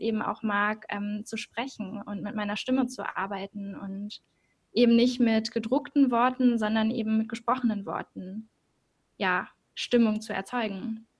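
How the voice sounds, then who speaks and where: Somewhat breathy and fairly high, a woman's voice moves at a moderate pace with monotone, flat intonation. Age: 20s. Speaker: journalism student and podcaster. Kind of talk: interview.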